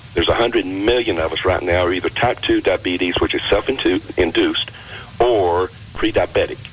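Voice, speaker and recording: A man with an American accent talks at a moderate pace amid noticeable background noise. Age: 60s. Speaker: health and fitness author. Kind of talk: radio interview.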